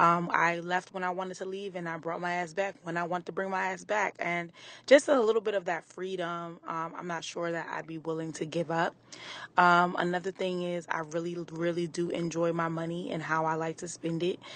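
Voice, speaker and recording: In a quiet background, a woman with a fairly low pitch talks at a fairly quick pace in a monotone, flat intonation. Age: 30s. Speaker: listener. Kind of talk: voice message. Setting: recorded voice note.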